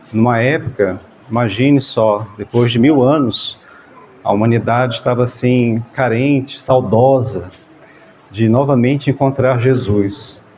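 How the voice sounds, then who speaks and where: Against noticeable background noise, a soft-spoken man of medium pitch talks at a fairly slow pace, with fairly even intonation and very even loudness. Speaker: spiritist group leader. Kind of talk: talk to a gathering. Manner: halting.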